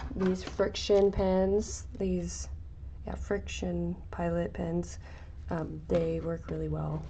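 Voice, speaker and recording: A woman's quiet voice at a very slow pace, with audible room echo. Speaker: crafting streamer. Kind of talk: casual livestream tutorial. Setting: livestream.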